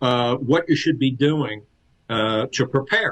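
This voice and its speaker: Ordinary pitch variation from a man with a fairly high voice. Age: 60s. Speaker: flooring industry consultant. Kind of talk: podcast interview. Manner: halting, many repeated words.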